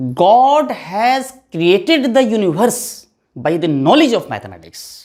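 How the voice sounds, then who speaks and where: Speaking fairly slowly with an Indian accent, a man uses an extremely high pitch and very wide pitch swings. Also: very clean recording, silent background. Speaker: physics teacher. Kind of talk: lecture.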